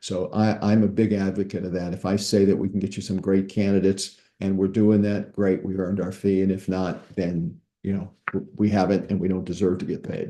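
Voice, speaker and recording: A man's fairly low, monotone voice with flat intonation, a fairly quick pace and an American accent. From US Midwest, St. Louis, Missouri. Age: 80s+. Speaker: startup recruiter. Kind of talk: presentation. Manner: halting, many repetitions.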